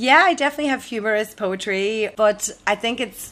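A woman speaks in a Tyrone accent. Her intonation is lively. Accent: Northern Irish, Tyrone. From Omagh, Co. Tyrone. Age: 30s. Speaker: comedy MC and poet. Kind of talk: casual interview.

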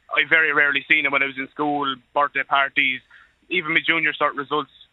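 A man's fairly high voice with an Irish accent. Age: 20s. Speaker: truck driver. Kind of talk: radio phone-in.

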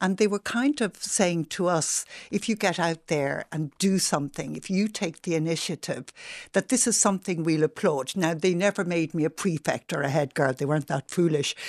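Heard dry and close with no echo, a woman with a Dublin accent speaks at a fairly low pitch with ordinary pitch variation. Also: moderate pace, quiet background. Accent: Dublin Irish. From Dublin, Ireland (Rathmines). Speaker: activist and campaigner. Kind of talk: radio interview.

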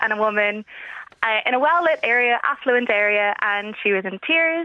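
A woman speaks at a fairly high pitch with an American accent. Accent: Irish with slight American tinge. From Dublin, Ireland. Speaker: caller. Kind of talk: casual chat. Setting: phone call.

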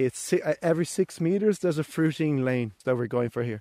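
A man with a Portuguese accent and fairly high pitch speaks at a moderate pace in a dark, mellow tone. The sound is dry and close with no echo, in a very clean recording with a silent background. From Brazil. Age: young. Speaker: farmer. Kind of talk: farm tour explanation.

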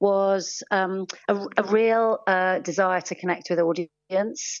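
The pitch varies in an ordinary way in what is an ordinary speaking voice. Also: woman. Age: 50s. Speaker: theatre artistic director. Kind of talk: radio interview.

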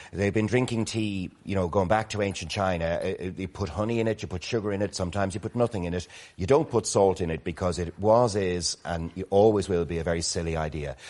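Speaking at a very fast pace with hardly any pauses, this man has a very deep, low voice and an Irish accent. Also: ordinary pitch variation. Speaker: motoring organisation CEO, panellist. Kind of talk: casual chat. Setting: studio.

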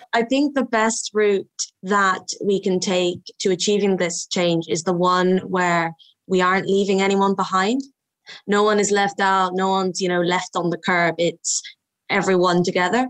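This woman has a west Cork Irish accent. Her intonation is fairly even. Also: medium pitch for a woman, moderate pace. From rural west Cork, Ireland. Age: 20s. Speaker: youth council member. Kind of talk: panel discussion.

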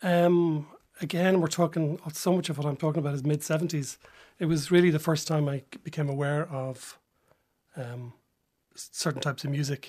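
A man with a Dublin accent talks at a fairly quick pace, with long, frequent pauses and a fairly high, somewhat breathy voice. His intonation is fairly even, and the recording is very clean with a silent background. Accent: Dublin Irish. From Dublin, Ireland (Drumcondra). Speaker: novelist. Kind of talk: radio interview. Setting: radio studio. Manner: hesitant, with many ums and restarts.

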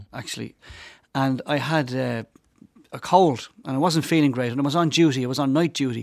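A man with a Dublin accent, medium in pitch, fairly quick in pace and fairly even in intonation, on a very clean recording with a silent background. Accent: Dublin Irish. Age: 50s. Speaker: priest. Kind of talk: casual chat. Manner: halting.

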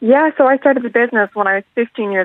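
A woman with a western Irish accent, very fast in pace and lively in intonation. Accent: Irish (west of Ireland). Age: young. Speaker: young entrepreneur. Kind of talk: radio interview.

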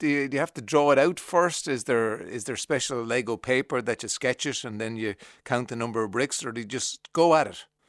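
A man with an Irish accent talks at a fairly quick pace with hardly any pauses, at a medium pitch with ordinary variation. The sound is dry and close with no echo, and the background is quiet. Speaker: radio host. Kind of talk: radio interview.

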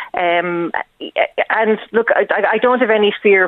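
A woman with an Irish accent talks at a fairly slow pace, her intonation fairly even. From Wexford, Ireland. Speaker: librarian. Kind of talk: radio interview. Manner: halting.

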